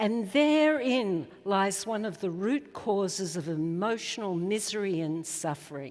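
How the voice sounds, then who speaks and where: In an Australian accent, a woman at medium pitch speaks at a fairly slow pace with lively intonation and hardly any pauses, with audible room echo. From Australia, Melbourne. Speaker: psychologist. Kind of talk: conference talk.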